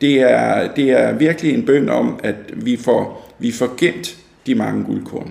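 Noticeable background noise fills the recording. Over it, a man speaks very slowly. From Denmark, North Zealand (Fredensborg). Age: 60s. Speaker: local historian. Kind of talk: interview. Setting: at his home. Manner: halting, many fillers and repetitions.

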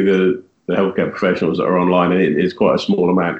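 Speaking at a fairly quick pace, a man has an unremarkable speaking voice with a fairly low pitch. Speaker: diabetes blogger. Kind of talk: casual interview.

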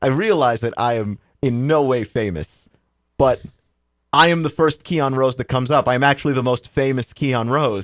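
A man talks in an unremarkable speaking voice at a medium pitch and moderate pace, with ordinary pitch variation. The recording is very clean, with a silent background and a dry, close sound with no echo. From Texas. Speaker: podcast co-host. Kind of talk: casual chat.

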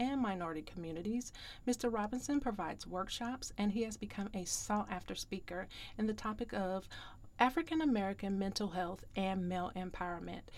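In a plain, everyday voice, a woman speaks at a fairly quick pace with a medium pitch and ordinary pitch variation. The recording is very clean with a silent background. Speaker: podcast host and grief coach. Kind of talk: podcast interview.

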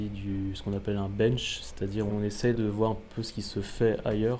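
Over audible room echo, a man talks at a fairly quick pace in a fairly low pitch with monotone, flat intonation. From Alsace, France. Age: 30s. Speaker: motion designer. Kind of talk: interview.

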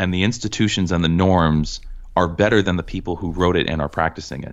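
With an American accent, a man talks fairly quickly in a very deep, low pitch. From US Northeast, Cambridge, Massachusetts. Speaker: magazine editor. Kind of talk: podcast interview.

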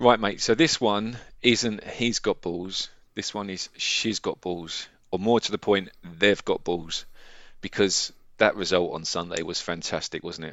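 This man has an ordinary speaking voice with a fairly low pitch. He talks at a fairly slow pace with ordinary pitch variation. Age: 40s. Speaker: football podcast co-host. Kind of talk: casual chat.

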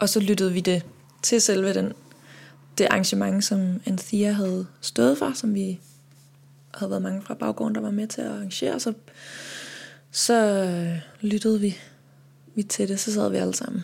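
Somewhat breathy and at a medium pitch, a woman speaks at a fairly slow pace with ordinary pitch variation and long, frequent pauses. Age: 30s. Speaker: singer and composer. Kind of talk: interview.

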